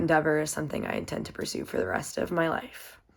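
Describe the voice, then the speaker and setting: With an American accent, a woman speaks at a fairly quick pace in an upbeat tone, on a very clean recording with a silent background. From US South, Virginia (Waynesboro). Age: 20s. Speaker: college student and swimmer. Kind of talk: self-introduction presentation. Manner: casual, upbeat.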